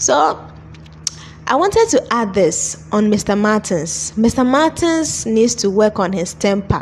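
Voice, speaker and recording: A woman speaks fairly slowly, with noticeable background noise behind her. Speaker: movie reviewer. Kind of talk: video review commentary. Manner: animated.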